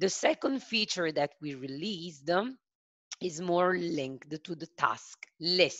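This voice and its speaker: In an Italian accent, a woman with a fairly low voice speaks at a very slow pace. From Italy. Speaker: software sales consultant. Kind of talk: webinar product demo. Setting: online video call. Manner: hesitant, many filler sounds.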